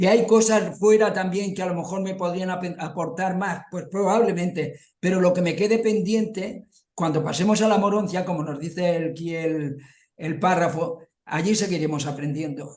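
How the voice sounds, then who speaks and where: A man talks in a high voice at a moderate pace. His intonation stays fairly even. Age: 70s. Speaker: study group participant. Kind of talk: group discussion.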